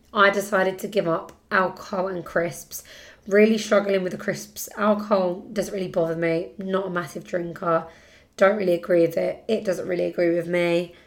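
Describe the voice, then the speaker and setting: A woman with a British accent, moderate pace and monotone, flat intonation. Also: medium pitch for a woman. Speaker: podcast host. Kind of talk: casual chat.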